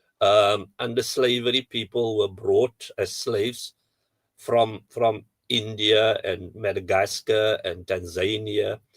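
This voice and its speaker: Speech from a man comes very slowly. There's a dry, close sound with no echo. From South Africa. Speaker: author and conference speaker. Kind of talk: conference talk. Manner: halting, with frequent fillers and repetitions.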